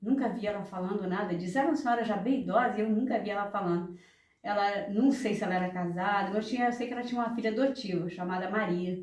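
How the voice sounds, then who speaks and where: A woman talks at a very fast pace and a medium pitch, with ordinary pitch variation. Audible room echo surrounds her voice. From Brazil, rural village in Natividade area. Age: 70s. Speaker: elderly interviewee telling life story. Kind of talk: oral history interview. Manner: halting, with repetitions.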